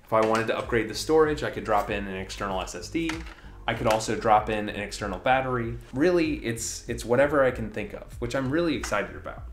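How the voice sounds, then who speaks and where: A man speaks at a very fast pace. Music plays in the background amid audible room echo. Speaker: tech video creator. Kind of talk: tech review commentary. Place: home room.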